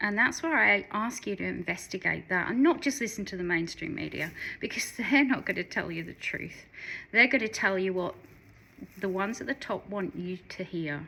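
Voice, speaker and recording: With an Australian accent, a woman speaks at medium pitch in a bright, sharp tone with vocal fry and lively intonation on a very clean recording over a silent background. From Western Australia. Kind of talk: casual talk to camera. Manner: earnest, encouraging.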